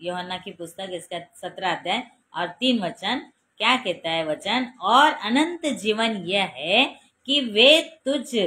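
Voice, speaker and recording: Her tone is bright and sharp, and the speaker is a woman. Her pitch swings very widely, and her loudness rises and falls in big swings. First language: Marathi (speaking Hindi). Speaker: preacher. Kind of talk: sermon.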